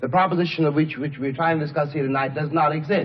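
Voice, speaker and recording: A man with an American accent talks at a fairly high pitch with ordinary pitch variation. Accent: faintly cosmopolitan American. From United States. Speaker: writer, civil-rights activist. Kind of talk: formal debate speech. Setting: lecture hall, archival recording. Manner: rising, preacher-like cadence.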